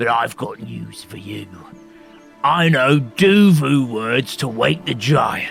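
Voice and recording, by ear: A man does a put-on character voice at a slow pace, medium in pitch with a fairly bright tone, a slightly husky edge and vocal fry. His intonation is lively, and faint music plays in the background.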